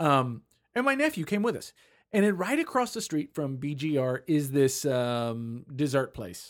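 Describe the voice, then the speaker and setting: Recorded very cleanly against a silent background, the delivery keeps a moderate pace. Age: 40s. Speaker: podcast co-host. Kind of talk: casual chat. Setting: studio.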